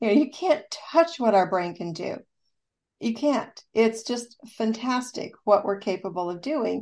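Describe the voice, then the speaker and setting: A woman with a normal speaking voice, fairly high pitch, lively intonation and big swings in loudness, at a fairly slow pace over a quiet background. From US Midwest, rural southeast Kansas. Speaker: rehabilitation counselor and author. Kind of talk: radio interview.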